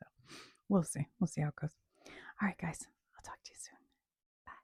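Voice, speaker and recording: Soft-spoken and fairly quick, a woman talks with big swings in loudness in a dry, close sound with no echo. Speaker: ASMR creator. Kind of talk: casual chat. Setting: home kitchen. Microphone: poor microphone.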